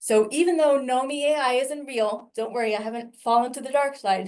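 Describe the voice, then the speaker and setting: High pitch and ordinary pitch variation in a woman's speech. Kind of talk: webinar presentation.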